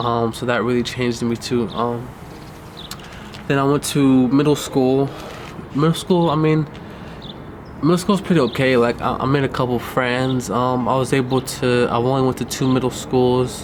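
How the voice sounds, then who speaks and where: With noticeable background noise behind him, a man with a Californian accent speaks at a medium pitch and a moderate pace, leaving long, frequent pauses. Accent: Californian American English. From US West Coast, Inglewood, California. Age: 20s. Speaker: filmmaker telling own life story. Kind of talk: personal life-story documentary monologue. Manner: hesitant, many fillers.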